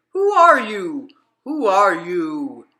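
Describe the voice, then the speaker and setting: This is a put-on character voice with a fairly high pitch. Its pitch swings very widely. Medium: read story. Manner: exclaiming, repetitive.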